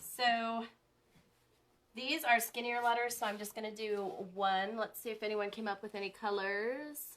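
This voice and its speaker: Fairly even intonation at a moderate pace. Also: woman, fairly high pitch for a woman. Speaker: crafter live-streaming a chalk sign project. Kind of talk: live-stream craft tutorial. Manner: casual, chatty with fillers; louder while using the dryer.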